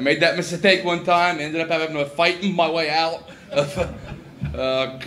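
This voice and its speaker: A man with an American accent and a high pitch, amid noticeable background noise and audible room echo. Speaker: comedian and farmer. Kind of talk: stand-up. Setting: stage with audience.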